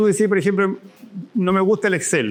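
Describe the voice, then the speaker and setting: Music plays in the background as a man speaks. He has a Chilean accent and a high pitch. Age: 60s. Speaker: professor. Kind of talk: interview conversation. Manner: halting with frequent repetitions.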